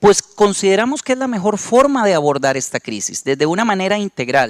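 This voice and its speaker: A man with a Costa Rican accent speaks at a fairly quick pace. His pitch swings very widely, and the sound is dry and close with no echo. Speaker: company representative, panel speaker. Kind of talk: conference presentation.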